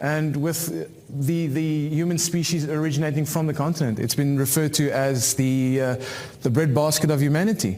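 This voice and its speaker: A man speaks at a fairly quick pace in a fairly high pitch. Noticeable background noise and audible room echo are present. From South Africa. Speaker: cybersecurity expert. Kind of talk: conference talk. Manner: halting, many fillers.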